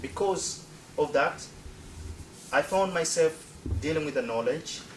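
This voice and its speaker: The man here has a fairly high pitch. He speaks at a fairly slow pace over noticeable background noise. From Tanzania (Zanzibar). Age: 40s. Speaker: presenter. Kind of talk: presentation. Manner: halting.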